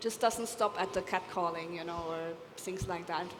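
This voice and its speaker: Over noticeable background noise, a woman speaks at a medium pitch with fairly even intonation. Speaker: architect, panelist. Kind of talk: panel discussion. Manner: loud.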